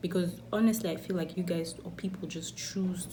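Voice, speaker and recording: A woman with a fairly low pitch speaks at a moderate pace and with fairly even intonation, with audible room echo around her. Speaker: beauty vlogger. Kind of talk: casual chat.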